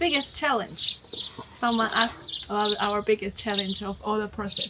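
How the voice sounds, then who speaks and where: A woman speaks at a moderate pace in a Chinese accent, her pitch fairly high. Noticeable background noise sits behind her. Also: ordinary pitch variation. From China. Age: 30s. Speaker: homesteader and YouTuber. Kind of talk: casual Q&A chat.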